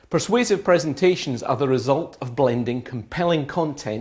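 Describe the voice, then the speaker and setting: A man's medium-pitched, a plain, everyday voice with lively intonation at a moderate pace. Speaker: professional speaker and master of ceremonies. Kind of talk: promotional talk to camera.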